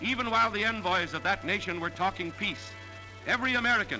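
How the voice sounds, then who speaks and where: Music plays in the background as a man speaks at a fairly quick pace. His voice is raised, projected and high in pitch. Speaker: newsreel narrator. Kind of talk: wartime newsreel narration. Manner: dramatic, emphatic.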